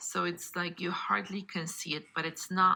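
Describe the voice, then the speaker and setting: Fairly low in pitch and bright, sharp in tone, a woman's voice shows vocal fry and ordinary pitch variation at a fairly slow pace. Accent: non-native. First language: not English. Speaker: card-making crafter. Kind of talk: craft tutorial. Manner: casual, conversational.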